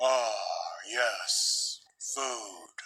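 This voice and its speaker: This man uses a put-on character voice. It sounds raspy. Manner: flat, blank.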